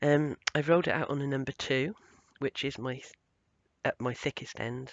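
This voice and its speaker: With a British accent, a man speaks at a medium pitch and a moderate pace. His pitch varies in an ordinary way. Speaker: craft tutorial maker. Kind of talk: tutorial. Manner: casual, hesitant with many ums.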